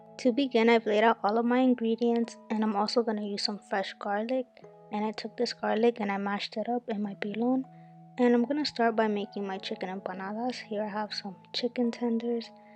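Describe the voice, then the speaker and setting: Music plays in the background as a woman speaks at a fairly quick pace. Her fairly high voice has a monotone, flat intonation. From Dominican Republic. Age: 20s. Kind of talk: cooking tutorial talk to camera.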